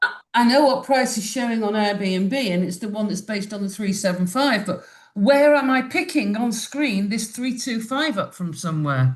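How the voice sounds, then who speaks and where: With a British accent, a woman speaks at a moderate pace in a fairly high, somewhat breathy voice with lively intonation over a quiet background. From UK. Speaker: Airbnb host asking a question. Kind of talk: live Q&A question.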